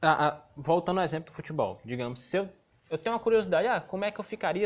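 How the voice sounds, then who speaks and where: The voice races along at a very fast pace with lively intonation. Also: man. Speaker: school teacher. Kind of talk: remote lesson.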